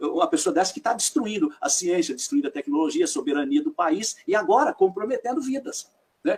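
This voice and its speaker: A man talks at a fairly quick pace. His pitch is extremely high, with very wide swings. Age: 60s. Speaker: professor and former prosecutor, interviewer. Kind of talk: casual political interview.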